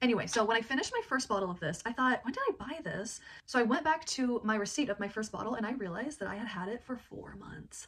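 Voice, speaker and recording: The speaker talks at a very fast pace with an animated tone and ordinary pitch variation. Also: woman. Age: 30s. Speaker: product review vlogger. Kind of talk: product review.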